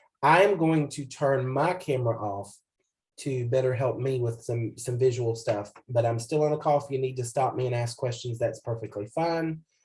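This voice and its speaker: Somewhat breathy, a man speaks at a medium pitch and a moderate pace. His pitch varies in an ordinary way. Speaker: computer skills instructor. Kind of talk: tutorial. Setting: video call. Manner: casual, with frequent fillers.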